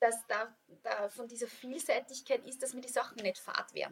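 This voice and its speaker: At a fairly slow pace, a woman talks in a high pitch. Her intonation stays fairly even. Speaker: yoga teacher and author. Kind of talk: casual interview. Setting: studio.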